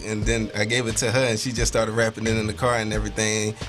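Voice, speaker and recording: Talking at a very fast pace, a man uses a fairly low pitch and fairly even intonation with an American accent. Music plays in the background, and room echo is audible. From Baltimore, Maryland. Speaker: rapper. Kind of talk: interview.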